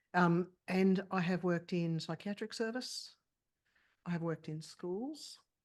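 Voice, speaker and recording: Against a quiet background, a woman with an Australian accent talks at a fairly slow pace, her fairly low voice showing ordinary pitch variation. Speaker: clinical psychologist. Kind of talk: interview.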